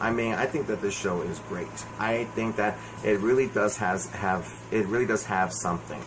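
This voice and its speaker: A fairly low-pitched man at a moderate pace amid noticeable background noise. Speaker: movie reviewer. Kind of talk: solo video review. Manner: halting. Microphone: no microphone, voice quiet.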